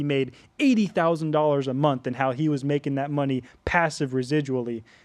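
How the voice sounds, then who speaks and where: Against a quiet background, the voice moves at a fairly quick pace with fairly even intonation. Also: man. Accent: American. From US, Las Vegas, Nevada (early childhood in Florida). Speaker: podcast host. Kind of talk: personal testimony. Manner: halting, many fillers and restarts.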